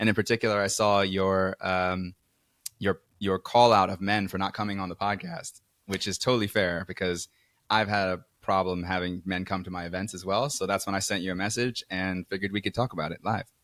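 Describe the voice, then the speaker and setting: With a New York accent, a man talks at a fairly quick pace in a very deep, low pitch and monotone, flat intonation, captured in a very clean recording with a silent background. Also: dry, close sound with no echo. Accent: New York American. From New York City, Queens. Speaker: event organizer. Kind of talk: podcast conversation. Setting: studio sofa.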